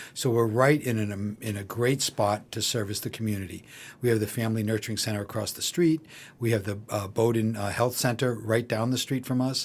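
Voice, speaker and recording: Fairly even intonation carries this fairly quick speech on a very clean recording with a silent background. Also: man, medium pitch for a man. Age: 60s. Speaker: grocery co-op general manager. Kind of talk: interview. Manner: hesitant, many fillers.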